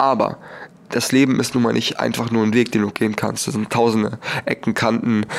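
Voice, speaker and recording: The man speaks at a moderate pace. Noticeable background noise runs behind him. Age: young. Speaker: podcaster. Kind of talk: personal monologue.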